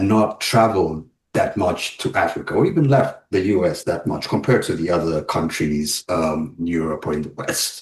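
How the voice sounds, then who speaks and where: A somewhat breathy man talks at a moderate pace. His pitch varies in an ordinary way. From Uganda. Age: 40s. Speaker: web developer and travel advisor. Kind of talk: podcast interview. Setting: podcast.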